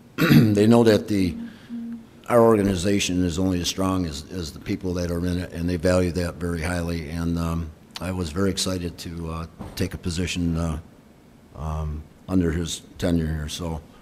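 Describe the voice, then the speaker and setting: A man's very deep, low voice with an American accent, fairly even intonation and a moderate pace, with audible room echo. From Rochester, New York. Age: 60s. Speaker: retiring fire chief. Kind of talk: retirement speech. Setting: council chamber. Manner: halting, many fillers.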